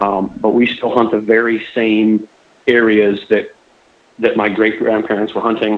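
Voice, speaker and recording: A man's fairly low voice with a Florida accent, at a fairly slow pace broken by long, frequent pauses. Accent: US Southern (Florida). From southwest Florida. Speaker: hunter. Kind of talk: podcast interview. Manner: halting.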